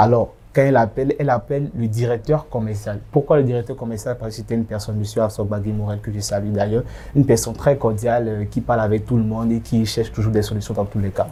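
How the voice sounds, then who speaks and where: A man talks at a very fast pace with hardly any pauses. His tone is dark and mellow, and somewhat breathy. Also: medium pitch for a man. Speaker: association president. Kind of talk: interview. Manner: animated.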